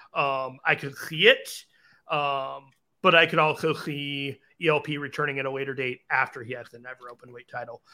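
An unremarkable speaking voice keeps a moderate pace and fairly even intonation while its loudness swings a lot. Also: man, fairly high pitch for a man. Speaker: wrestling podcast co-host. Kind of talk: casual chat, show discussion. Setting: at home, dogs in background.

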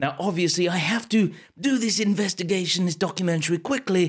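A man with a British accent talks at a high pitch and a moderate pace with ordinary pitch variation. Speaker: improvising storyteller, entertainer. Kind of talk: improvised comic documentary-horror narration, mock-serious. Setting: live stream to Facebook audience. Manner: playful, rambling, with stumbles.

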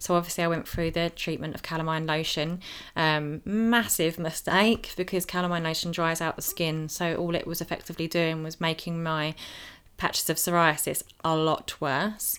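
A woman with a fairly low pitch speaks in fairly even intonation on a very clean recording with a silent background. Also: moderate pace. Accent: English. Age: 30s. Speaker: skin condition advocate. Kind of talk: personal testimony. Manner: hesitant, many fillers.

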